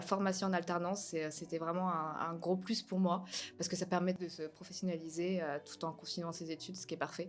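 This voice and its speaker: On a very clean recording with a silent background, the voice holds a monotone, flat intonation. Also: woman. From Normandy, France. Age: 20s. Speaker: master's student. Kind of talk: interview testimony. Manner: hesitant, many fillers.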